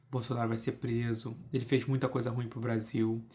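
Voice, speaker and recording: A man speaks at a medium pitch in a monotone, flat intonation, somewhat breathy. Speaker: political podcaster. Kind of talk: casual monologue.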